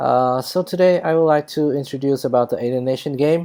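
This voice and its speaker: Someone speaks at a fairly slow pace with a non-native accent. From Vietnam. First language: Vietnamese. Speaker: gaming YouTuber. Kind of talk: tutorial. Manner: halting, many fillers.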